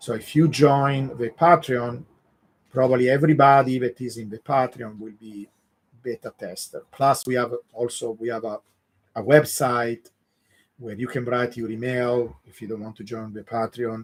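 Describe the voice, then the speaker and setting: A man with an Italian accent talks at a moderate pace, his loudness swinging widely. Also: medium pitch for a man, fairly even intonation. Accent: Italian accent, mistaken for Russian. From Italy (Genoa, southern Italian parents). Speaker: crypto analyst / YouTube host. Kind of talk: live stream Q&A. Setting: live stream with chat.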